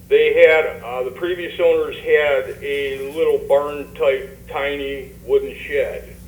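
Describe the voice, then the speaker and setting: Very slow speech comes through with audible room echo and noticeable background noise. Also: man. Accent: American. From Michigan (Romulus). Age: 60s. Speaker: resident speaking at public comment. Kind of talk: public comment at council meeting. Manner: halting.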